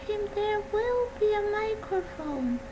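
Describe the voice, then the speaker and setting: Very slowly, a woman talks with very wide pitch swings, with audible room echo and noticeable background noise. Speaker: mental health presenter.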